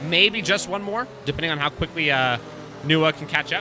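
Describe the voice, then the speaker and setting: Against noticeable background noise, a man with an American accent speaks at a moderate pace, his fairly high pitch carried by lively intonation. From US, family from Texas. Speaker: sim racing commentator. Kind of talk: live commentary. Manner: casual, chatty.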